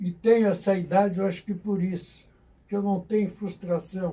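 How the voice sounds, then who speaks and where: A man with a high pitch and a dark, mellow tone speaks at a fairly slow pace in monotone, flat intonation. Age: 90s. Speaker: retired army colonel and historian. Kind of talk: radio interview. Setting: radio studio.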